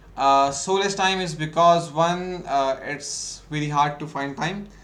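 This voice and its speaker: With audible room echo around him, a man talks in a fairly even intonation. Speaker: ecommerce instructor. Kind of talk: lecture. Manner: fast.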